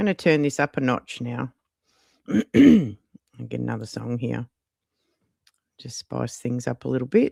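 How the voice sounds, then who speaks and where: With an Australian accent, this voice moves at a moderate pace broken by long, frequent pauses. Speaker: YouTube livestreamer and AI music creator. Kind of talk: casual livestream chat.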